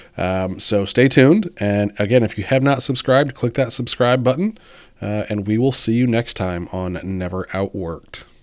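At a moderate pace, a man with an unremarkable speaking voice talks, his pitch varying in an ordinary way. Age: 40s. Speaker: podcast host, real estate agent. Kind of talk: casual interview chat.

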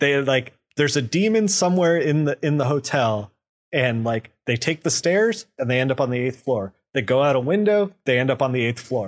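With a plain, everyday voice, a man speaks at a moderate pace and a fairly high pitch, his intonation lively and his loudness very even, in a very clean recording with a silent background. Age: 40s. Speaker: comic book podcast co-host. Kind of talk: casual chat.

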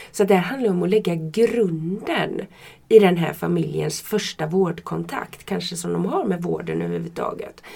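A woman talks at a moderate speed while noticeable noise fills the background. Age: 50s. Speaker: midwife. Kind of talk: casual interview. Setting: studio, shared microphone.

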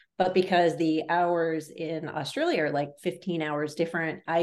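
This woman's voice sits at a very deep, low pitch. Her intonation is monotone and flat. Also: quiet background. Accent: American. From US Northeast, Boston area. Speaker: radiologist and clinical AI executive. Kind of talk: interview.

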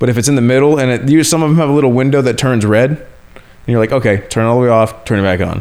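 A man talks at a very fast pace with hardly any pauses. His medium-pitched voice shows ordinary pitch variation. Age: 30s. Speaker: podcast host. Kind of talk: casual chat. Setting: at home on a couch.

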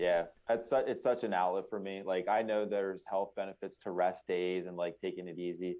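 With an American accent, a man speaks at a moderate pace. His pitch is very deep and low. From Pennsylvania, Lancaster. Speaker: author and ultramarathon runner. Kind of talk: interview, personal story.

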